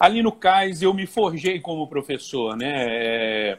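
A man talks with lively intonation. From Brazil, Volta Redonda, Rio de Janeiro state. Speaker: Portuguese teacher for civil service exam prep. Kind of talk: casual interview. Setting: Instagram live video call.

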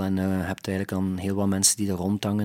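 The recording is very clean, with a silent background. A man speaks with a fairly low pitch. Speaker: musician. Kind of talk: casual interview. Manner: halting, many hesitations.

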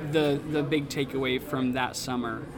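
A very slow-paced man with an American accent, amid noticeable background noise and audible room echo. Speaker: pastor. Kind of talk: interview. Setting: conference lunch break.

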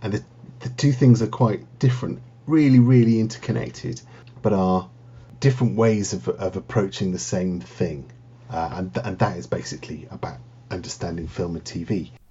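A man's fairly low, somewhat breathy voice at a moderate pace, with very wide pitch swings. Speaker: university lecturer. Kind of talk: casual interview.

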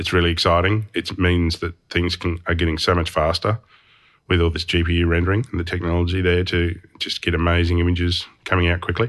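A man with an Australian accent speaks very fast in a very deep, low voice, his intonation monotone and flat against a quiet background. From Tasmania, Australia (Hobart). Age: 40s. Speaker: motion designer and studio owner. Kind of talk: interview. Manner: heavy breathing.

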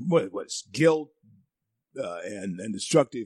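The sound is dry and close with no echo. A man talks at a medium pitch with lively intonation. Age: 60s. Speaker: conservative talk radio host. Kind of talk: talk radio monologue. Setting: studio. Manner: animated.

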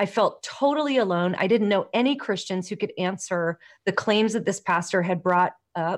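Speaking at a moderate pace with an American accent, a woman has an unremarkable speaking voice of medium pitch and ordinary pitch variation. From Los Angeles, US. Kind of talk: casual interview. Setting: video call.

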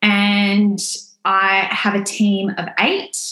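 With an Australian accent, a woman of medium pitch speaks at a very slow pace amid audible room echo. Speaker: lash salon owner. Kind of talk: podcast interview.

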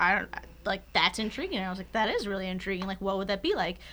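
Here is a woman with a plain, everyday voice and an American accent. Her pitch sits in the medium range, and her intonation is fairly even. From Philadelphia suburbs, US. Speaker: podcast co-host. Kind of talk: casual chat.

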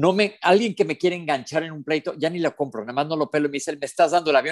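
Talking very fast, a man with a fairly high voice shows ordinary pitch variation. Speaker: podcast co-host. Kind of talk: casual chat. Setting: remote connection.

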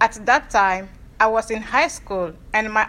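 A woman speaks at a moderate pace with a fairly high pitch. There is noticeable background noise. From Togo, Lomé. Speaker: theology student and lay minister. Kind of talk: prepared presentation. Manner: formal.

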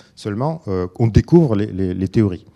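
In a very clean recording with a silent background, a man's dark, mellow voice makes very wide pitch swings, sounding dry and close with no echo. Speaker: philosopher and researcher. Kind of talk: lecture. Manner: halting.

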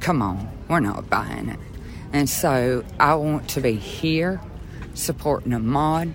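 Speech comes at a very slow pace with a Southern US accent. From rural southeast Georgia. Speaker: activist supporter. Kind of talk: interview.

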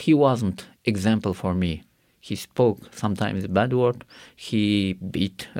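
Here a man speaks at a fairly low pitch with ordinary pitch variation. The recording is very clean, with a silent background. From Karakalpakstan, Uzbekistan. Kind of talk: testimony. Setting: studio. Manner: halting.

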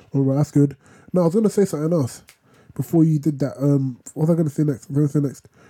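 In a London accent, a man with a fairly high pitch talks at a very fast pace, his somewhat breathy voice dark and mellow in tone, with ordinary pitch variation and very even loudness. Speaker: podcast co-host. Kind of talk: casual chat.

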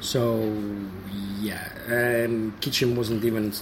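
Noticeable background noise fills the clip. A man is talking. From Estonia. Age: 30s. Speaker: game store owner. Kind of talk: interview.

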